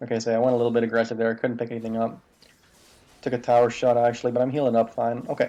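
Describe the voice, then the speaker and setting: A quiet man at a very fast pace, medium in pitch and flat and monotone in intonation. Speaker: gaming video creator. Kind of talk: gameplay commentary tutorial. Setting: home recording at night. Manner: quiet, subdued; casual, filler-heavy.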